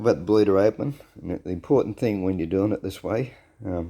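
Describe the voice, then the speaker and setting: With an Australian accent, a man speaks at a moderate pace in a fairly low pitch and a dark, mellow tone. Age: 60s. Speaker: home car mechanic vlogger. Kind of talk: casual workshop tutorial. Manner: casual, repetitive with fillers.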